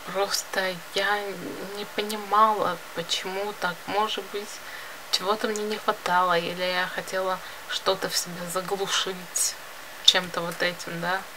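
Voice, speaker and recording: Over noticeable background noise, a woman speaks at a fairly slow pace in a monotone, flat intonation with long, frequent pauses. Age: 20s. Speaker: video blogger and illustrator; vlogger. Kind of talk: casual vlog monologue; casual vlog chat. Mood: reflective, confiding. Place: home room. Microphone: phone near.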